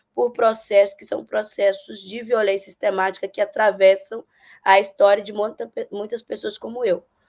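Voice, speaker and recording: Here a woman speaks at a medium pitch. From Brazil, Minas Gerais. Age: 30s. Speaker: political candidate and social worker. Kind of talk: interview. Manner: hesitant, many fillers.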